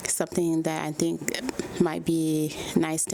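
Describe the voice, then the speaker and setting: A woman talks over noticeable background noise. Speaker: lifestyle vlogger. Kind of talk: casual vlog narration. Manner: soft-spoken.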